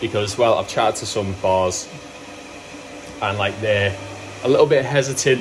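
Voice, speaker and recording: Noticeable background noise and audible room echo surround a man speaking at a moderate pace. His voice sits fairly low, with fairly even intonation. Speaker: brewery owner and vlogger. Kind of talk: casual vlog narration. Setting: at the brewery. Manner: rambling with fillers.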